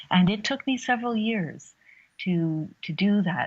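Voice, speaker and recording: In a quiet background, a woman speaks in a somewhat breathy voice with ordinary pitch variation. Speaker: human rights activist. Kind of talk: interview. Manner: soft-spoken.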